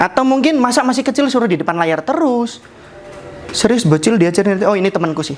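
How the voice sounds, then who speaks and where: The speaker has a strong Javanese accent. Noticeable background noise runs underneath. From Central Java (Jepara). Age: 20s. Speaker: project manager giving internal talk. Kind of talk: casual presentation to colleagues. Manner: fast.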